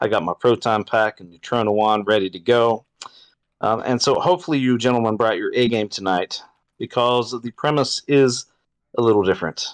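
Over a quiet background, a man of medium pitch talks at a moderate pace with ordinary pitch variation in a dry, close sound with no echo. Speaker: podcast host. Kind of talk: casual comedic banter. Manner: animated, joking.

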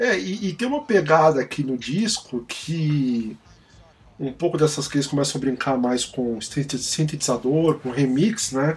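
A man with a normal speaking voice talks at a fairly high pitch and a fairly slow pace. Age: 40s. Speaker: music podcast host. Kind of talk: casual chat.

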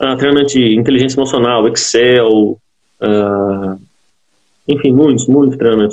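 A man with an ordinary speaking voice talks at a moderate pace and medium pitch, his intonation fairly even. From Brazil, southern Minas Gerais. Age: 20s. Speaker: agricultural engineer. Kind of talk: interview.

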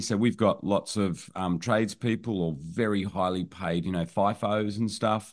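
Against a quiet background, a man with an Australian accent speaks at a moderate pace and fairly low pitch with ordinary pitch variation. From rural New South Wales, Australia. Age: 50s. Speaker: online business owner and educator. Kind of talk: podcast interview.

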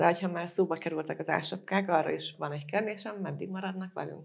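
Fairly low female pitch with vocal fry and fairly even intonation. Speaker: podcast moderator, business journalist. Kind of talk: panel discussion.

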